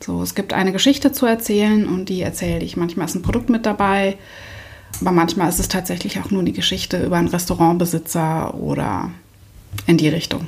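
Her pitch is fairly low for a woman, with vocal fry and ordinary variation. She speaks at a fairly quick pace. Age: 30s. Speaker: photographer. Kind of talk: interview.

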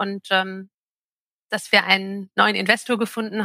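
A woman's bright, sharp voice at medium pitch, moderate pace and monotone, flat intonation, with a dry, close sound and no echo. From northern Germany, Altes Land near Hamburg. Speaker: travel company managing director. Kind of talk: interview.

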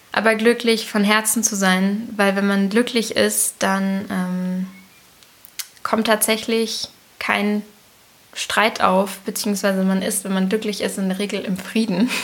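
A woman speaks at a very slow pace in a medium-pitched, flat monotone, with noticeable noise behind her. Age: 20s. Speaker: host's daughter. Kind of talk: casual interview.

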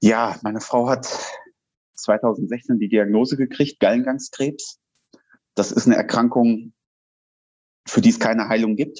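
Fairly slow delivery with fairly even intonation and long, frequent pauses. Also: man, medium pitch for a man. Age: 40s. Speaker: wrestler and firefighter. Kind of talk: interview. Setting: video call.

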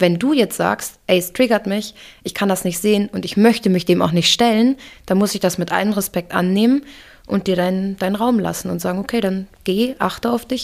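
Her pace is moderate and her pitch medium. The woman shows ordinary pitch variation. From Hamburg, Germany (moved there at age two and a half). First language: English (speaking German). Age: 30s. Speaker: photographer. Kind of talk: interview testimony.

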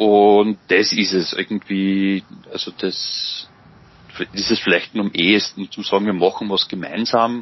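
A man's fairly low, monotone, flat voice at a fairly slow pace, with noticeable background noise. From Austria, Mühlviertel (Upper Austria). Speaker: psychology lecturer and father. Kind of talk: interview. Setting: video call. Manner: halting, many fillers.

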